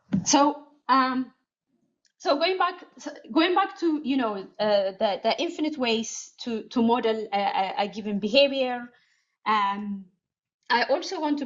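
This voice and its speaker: With a non-native accent, a woman speaks at a fairly slow pace in a high pitch, her voice showing very wide pitch swings. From Ethiopia. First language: not English. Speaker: cognitive scientist. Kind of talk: conference talk with Q&A. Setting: conference with audience. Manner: halting, many fillers.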